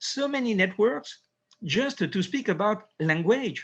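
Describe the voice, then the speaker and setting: Against a quiet background, a man talks with a French accent and lively intonation. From France. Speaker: neurosurgeon. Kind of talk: interview. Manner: halting.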